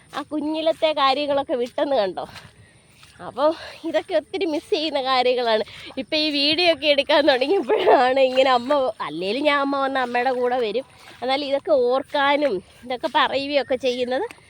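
A woman with a high pitch and ordinary pitch variation is heard in a dry, close sound with no echo, though there is noticeable background noise. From Kerala, Pathanamthitta area. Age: 30s. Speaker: vlogger. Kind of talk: casual vlog narration. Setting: outdoors.

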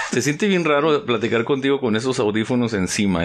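This man has a plain, everyday voice, speaking at medium pitch and a moderate pace with ordinary pitch variation. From northern Mexico, Ciudad Juárez. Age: 40s. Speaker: poet and podcast host. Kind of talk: casual chat over drinks. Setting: home recording with headphones.

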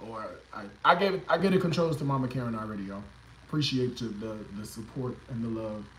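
Audible room echo and light background noise surround the recording. A man speaks at a moderate pace. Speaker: cooking livestream host. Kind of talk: casual livestream chat. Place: kitchen. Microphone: phone near.

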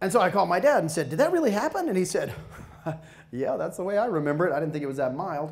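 A man talking very fast against a quiet background. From US South, Georgia. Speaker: motivational speaker. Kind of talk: professional development talk. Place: hall. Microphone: handheld.

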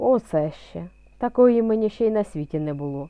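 At a moderate pace, a woman does a put-on character voice at a medium pitch. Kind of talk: bedtime story. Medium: read story. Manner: slow, good-natured.

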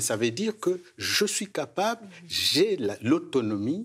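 A man's voice shows vocal fry. His pitch swings very widely. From another culture, outside Quebec. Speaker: gerontologist; guest. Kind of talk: panel discussion. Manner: repeats words, stammering. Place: studio. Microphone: lapel.

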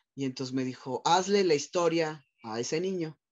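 A man at a moderate pace, quiet background. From Mexico City. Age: 40s. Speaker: psychologist and sexologist; guest. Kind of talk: personal testimony interview. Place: office. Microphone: video call.

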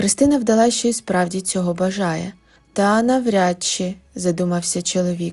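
Pitch moves in an ordinary way while the text is read aloud plainly.

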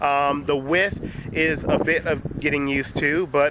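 Against noticeable background noise, a man talks at a moderate pace with fairly even intonation and a fairly high pitch, in a dry sound with no echo. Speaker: tech reviewer. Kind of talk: casual talk to camera. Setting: outdoors, windy. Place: waterside. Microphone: phone near.

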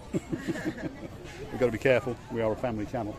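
A man speaks with crowd noise in the background and a dry sound with no echo. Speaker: travel vlogger. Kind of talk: casual vlog chat. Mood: cheerful, joking. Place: street. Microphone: phone near.

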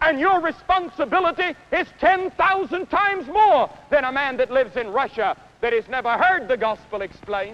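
A man with an American accent speaks at a moderate pace in a raised, projected voice, his extremely high pitch carrying a bright, sharp, intense tone and lively intonation. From United States. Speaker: evangelist preacher. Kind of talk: stadium sermon. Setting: outdoor stadium. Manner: earnest, intense, persuasive. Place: stadium. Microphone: podium.

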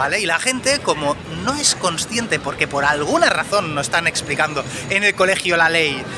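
The speaker is a man talking at a moderate pace. Clear background noise sits behind him.

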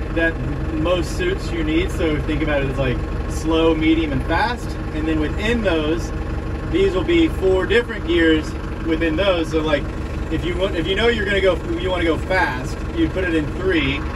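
A man talks at a moderate pace. Noticeable background noise runs under his voice. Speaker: instructor teaching tractor use. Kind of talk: tutorial. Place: farm machine. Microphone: phone near.

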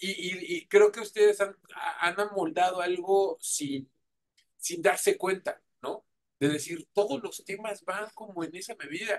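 With a Mexican accent, a man speaks at a fairly slow pace and a high pitch. His pitch varies in an ordinary way, while his loudness swings widely. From Mexico. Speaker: radio host and interviewer; radio host, interviewer. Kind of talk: casual interview. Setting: remote video call.

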